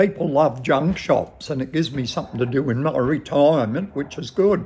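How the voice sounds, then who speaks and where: With a strong Australian accent, a man with a fairly high pitch and a somewhat breathy voice talks at a fairly quick pace with ordinary pitch variation. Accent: broad Australian. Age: 70s. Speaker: shop owner. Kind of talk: interview, casual storytelling.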